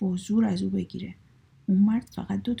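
Plain reading aloud.

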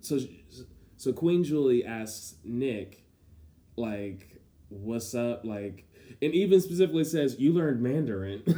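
With a dark, mellow tone and lively intonation, a man speaks fairly slowly at medium pitch, leaving long, frequent pauses. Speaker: podcast co-host. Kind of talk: casual chat. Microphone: poor audio environment.

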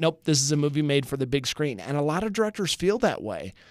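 A man speaks in a plain, everyday voice, pitched fairly high for a man, with lively intonation. The recording is very clean, with a silent background. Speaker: TV morning show host and instructor. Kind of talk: casual chat. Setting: studio.

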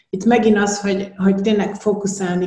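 This woman speaks at a fairly quick pace. Noticeable background noise runs under her voice. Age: 50s. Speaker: business mentor. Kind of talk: casual interview.

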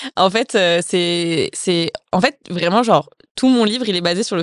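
Against a quiet background, a woman talks in a normal speaking voice, fairly low in pitch with ordinary pitch variation. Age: 20s. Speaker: author and content creator. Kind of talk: casual interview.

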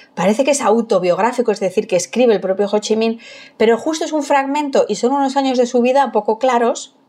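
The speaker has a Madrid accent and lively intonation. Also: woman. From Madrid, Spain. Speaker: food historian and archaeologist. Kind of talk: casual chat.

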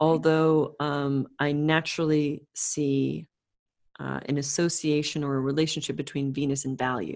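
Against a quiet background, a woman with a North American accent speaks at a moderate pace in a very deep, low pitch with monotone, flat intonation. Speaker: astrologer. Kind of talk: casual chat.

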